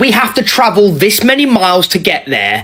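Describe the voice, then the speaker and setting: A high-pitched man with a British accent, over noticeable background noise. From Britain. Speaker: content creator. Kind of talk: casual vlog monologue.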